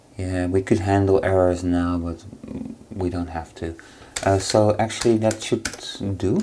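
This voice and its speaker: Noticeable background noise sits behind the speaker. The pace is fairly slow, with long, frequent pauses. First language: not English. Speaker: programming tutorial creator. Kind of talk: tutorial. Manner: halting, many fillers.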